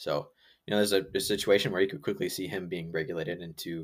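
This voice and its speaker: A very fast pace in an American accent. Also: man. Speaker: fantasy football podcast co-host. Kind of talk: casual chat.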